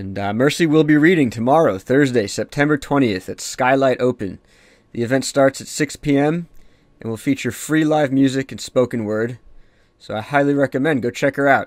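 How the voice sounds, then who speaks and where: In a normal speaking voice, a man talks at a medium pitch and a moderate pace, with ordinary pitch variation. His loudness swings widely, and the recording is very clean with a silent background. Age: 30s. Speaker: podcast host and comic artist. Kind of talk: podcast intro monologue. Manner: casual, with frequent fillers and repeats.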